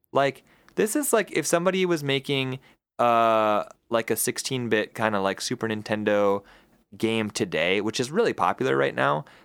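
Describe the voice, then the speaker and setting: On a very clean recording with a silent background and a dry, close sound, a man of medium pitch speaks at a moderate pace with very wide pitch swings and very even loudness. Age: 20s. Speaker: podcast co-host. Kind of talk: casual chat. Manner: animated.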